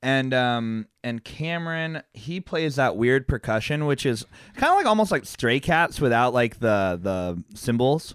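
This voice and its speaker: A man at medium pitch speaks at a fairly slow pace with hardly any pauses and lively intonation, in a very clean recording with a silent background and a dry, close sound with no echo. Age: 30s. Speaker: podcast co-host and musician. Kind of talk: casual chat. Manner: animated.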